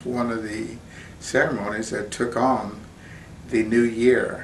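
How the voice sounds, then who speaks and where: A man with an American accent at medium pitch, very slow pace and fairly even intonation, amid noticeable background noise and audible room echo. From Oklahoma, Seminole. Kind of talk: interview testimony. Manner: halting, with fillers.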